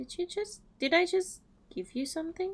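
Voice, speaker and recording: Put-on character voice from a woman, squeaky and extremely high-pitched, at a moderate pace. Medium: game stream.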